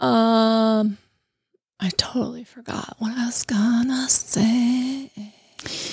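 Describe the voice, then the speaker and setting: Very slowly and with long, frequent pauses, a woman with an American accent speaks in a fairly high, somewhat breathy, monotone voice with flat intonation. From Colorado. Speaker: hairstylist. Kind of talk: casual chat.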